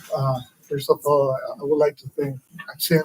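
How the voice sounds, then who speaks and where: A man with a Spanish accent speaks at a moderate pace and fairly high pitch, the sound dry and close with no echo. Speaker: political cartoonist, exile. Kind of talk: public lecture. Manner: careful, somewhat halting non-native English.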